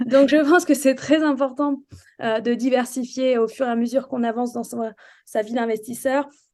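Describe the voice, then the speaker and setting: A woman's high-pitched voice with a dark, mellow tone, fairly even intonation, and a moderate pace. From France, Charente. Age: 30s. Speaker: real estate investor. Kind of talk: interview. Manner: hesitant, many fillers.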